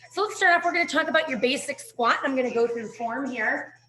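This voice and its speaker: There is noticeable background noise behind the speech. A woman talks at a fairly quick pace with lively intonation. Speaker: fitness instructor. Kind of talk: online fitness class instruction.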